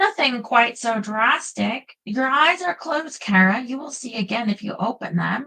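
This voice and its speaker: Putting on a character voice, a woman speaks at a high pitch and a moderate pace. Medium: read story. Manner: dry humor.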